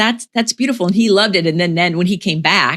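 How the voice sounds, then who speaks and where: A plain, everyday voice from a woman with an American accent, fairly low in pitch, with lively intonation at a fairly quick pace, in a dry, close sound with no echo. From Florida, USA. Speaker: podcast host. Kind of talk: casual podcast conversation.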